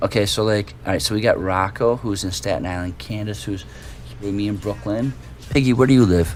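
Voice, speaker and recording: With a Chicago accent, a man talks at a fairly quick pace in a fairly low pitch with lively intonation. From US Midwest, Chicago. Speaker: stream co-host. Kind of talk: casual chat. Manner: calm.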